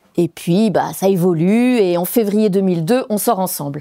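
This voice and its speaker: In a very clean recording with a silent background, a woman with a Belgian accent speaks at a fairly slow pace in a dark, mellow tone with ordinary pitch variation. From Belgium. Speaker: former French teacher and eco-building activist. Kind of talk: stage talk performance.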